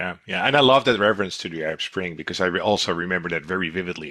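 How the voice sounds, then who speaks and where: A man speaks with a Dutch accent. His voice is very deep and low. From Netherlands. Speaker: intelligence company director, podcast host. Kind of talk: podcast interview.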